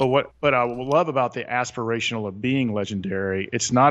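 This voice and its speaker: A man speaks with a Southern US accent. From US South, south Atlanta, Georgia. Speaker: author and retreat leader. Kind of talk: interview. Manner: animated.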